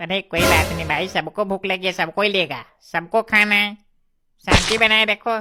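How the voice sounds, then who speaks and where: A female-sounding, cartoonish character voice is pitched in the middle range. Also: moderate pace. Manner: pushy, salesy.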